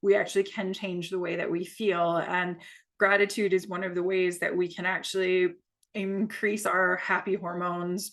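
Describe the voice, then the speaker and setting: Against a quiet background, a woman with an American accent talks at a medium pitch and a fairly slow pace. Her intonation is flat and monotone. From United States. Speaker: yoga teacher. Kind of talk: guided yoga class. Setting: video call. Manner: hesitant, many fillers.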